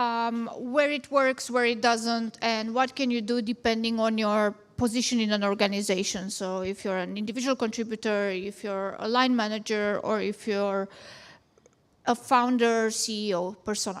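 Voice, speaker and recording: A woman's fairly high voice with a Romanian accent, moderate pace and fairly even intonation, on a very clean recording with a silent background. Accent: Romanian accent, still noticeable. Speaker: product management founder, conference speaker. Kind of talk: conference talk.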